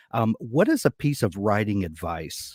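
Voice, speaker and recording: This fairly low-pitched man speaks with a Southern US accent. The recording is very clean, with a silent background. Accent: American Southern drawl. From US South. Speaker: podcast host. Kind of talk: interview. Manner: halting, repeats words.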